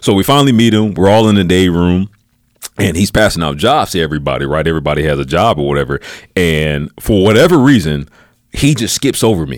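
A man with an American accent talks at a very fast pace. His very deep, low voice makes very wide pitch swings. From US Midwest, Peoria, Illinois. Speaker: Air Force reservist. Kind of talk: casual interview. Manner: relaxed, casual.

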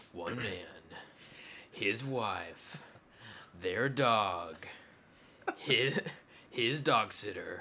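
In a put-on character voice, a man uses a medium pitch and lively intonation. He talks at a very slow pace with long, frequent pauses. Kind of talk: dramatic narration.

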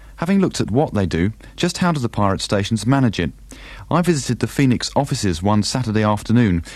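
Recorded very cleanly against a silent background, a man of medium pitch talks at a fairly quick pace in a normal speaking voice. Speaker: documentary maker and presenter. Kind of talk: documentary narration and podcast chat.

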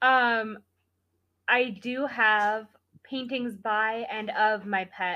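The speaker has an American accent and a very slow pace. Long pauses come often. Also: woman, fairly high pitch for a woman. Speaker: podcast guest. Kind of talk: casual chat.

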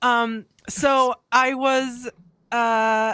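The woman's high-pitched voice has a bright, sharp tone and a dry, close sound with no echo. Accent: American. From US Midwest, Bay City, Michigan. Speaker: nurse. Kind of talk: casual chat.

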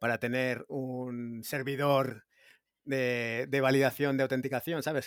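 A man's medium-pitched, monotone delivery at a fairly slow pace, on a very clean recording with a silent background. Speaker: blockchain developer. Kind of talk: technical discussion.

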